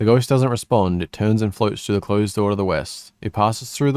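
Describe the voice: The pitch shows ordinary variation. The delivery is plain reading aloud.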